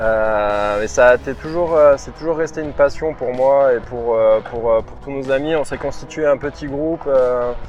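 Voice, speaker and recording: Music plays in the background. Over it, a man at a medium pitch talks at a fairly slow pace. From southwest France, Pau. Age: 20s. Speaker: skateboard instructor. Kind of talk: interview. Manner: halting, many fillers.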